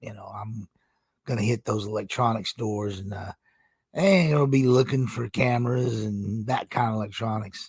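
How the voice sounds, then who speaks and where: His voice is somewhat breathy, at a medium pitch with ordinary pitch variation. The man keeps a moderate pace. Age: 50s. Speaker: gaming streamer, military retiree. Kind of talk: casual live stream monologue. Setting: live stream. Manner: rambling, hesitant fillers.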